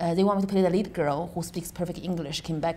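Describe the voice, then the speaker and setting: A woman's fairly low-pitched voice in a Chinese accent, with audible room echo. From China. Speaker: stand-up comedian and comedy club owner. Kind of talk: interview.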